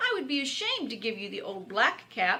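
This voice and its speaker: Someone speaks fairly quickly in a put-on character voice. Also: woman. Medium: read story.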